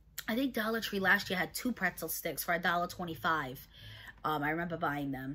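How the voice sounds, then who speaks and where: A woman talks with a bright, sharp tone. Her pitch swings very widely. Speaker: haul vlogger. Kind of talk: casual vlog chat. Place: home room. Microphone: phone near.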